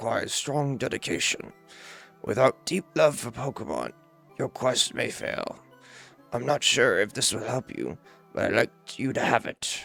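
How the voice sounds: A man's put-on character voice at a medium pitch and moderate pace, with long, frequent pauses and faint music in the background.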